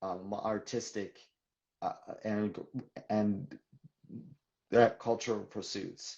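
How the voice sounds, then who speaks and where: A man speaks at a very slow pace. Long pauses come frequently. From western Canada, Vancouver. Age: 40s. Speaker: children's author and poet. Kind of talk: interview. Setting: livestream video call. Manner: stutters, with repetitions.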